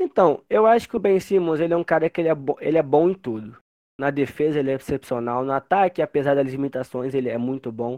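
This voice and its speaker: Very fast male speech, fairly high in pitch and ordinary in pitch variation. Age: 20s. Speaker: basketball fan page owner, journalist. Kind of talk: casual chat.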